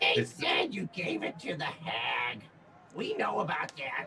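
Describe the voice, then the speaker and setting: Using a raspy, put-on character voice, a man speaks fairly slowly over clear background noise. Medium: actual play. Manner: sullen, blunt.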